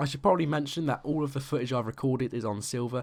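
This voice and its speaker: In a very clean recording with a silent background, a man speaks at medium pitch with a British accent. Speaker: gaming YouTuber. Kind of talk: game review commentary. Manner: usually monotone; animated, passionate.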